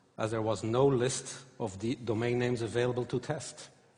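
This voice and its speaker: A man with a medium pitch and a somewhat breathy voice speaks at a moderate pace with fairly even intonation. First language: not English or German. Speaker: conference speaker. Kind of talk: conference talk. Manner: halting, many fillers.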